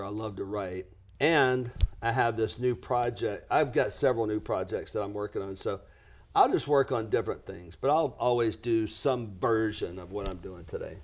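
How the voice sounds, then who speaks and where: A man speaks at a moderate pace with an American accent, in an ordinary speaking voice at a medium pitch. The recording is very clean, with a silent background. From US South, lower Alabama. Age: 60s. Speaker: business coach and author. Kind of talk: podcast interview.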